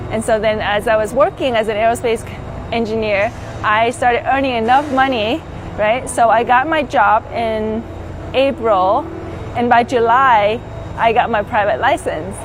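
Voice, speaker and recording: Over noticeable background noise, a woman with a Vietnamese accent speaks at a fairly high pitch. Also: ordinary pitch variation, moderate pace. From Vietnam, moved to the US at twelve. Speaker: pilot and flight instructor. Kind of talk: interview testimony. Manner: casual with many fillers.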